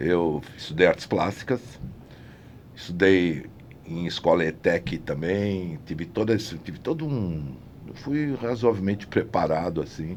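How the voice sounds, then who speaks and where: A man speaks with pitch that swings very widely from high to low. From São Paulo, Brazil (Brás/Mooca). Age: 70s. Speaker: set designer and artist. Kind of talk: interview conversation. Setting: studio. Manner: halting, with many restarts.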